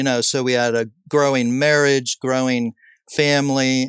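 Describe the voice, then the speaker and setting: Recorded with a dry, close sound, no echo and a quiet background, a man has an unremarkable speaking voice, a medium pitch and fairly even intonation. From Southern California. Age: 60s. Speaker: pastor and author. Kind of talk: interview conversation.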